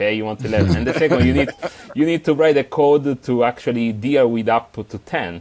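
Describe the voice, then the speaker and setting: Lively intonation from a man with an Italian accent, medium in pitch, at a fairly quick pace. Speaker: software developer, tool author. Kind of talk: podcast interview. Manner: halting, many fillers.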